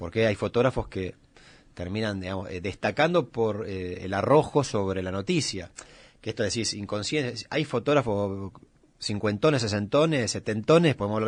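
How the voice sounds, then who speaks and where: A man's plain, everyday voice, fairly low in pitch, at a moderate pace, with ordinary pitch variation, big swings in loudness and a quiet background. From Argentina, Greater Buenos Aires. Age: 40s. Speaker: photojournalist. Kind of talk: radio interview.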